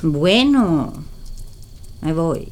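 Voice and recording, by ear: Using a put-on character voice, a woman speaks very slowly at a low pitch. Her pitch swings are big.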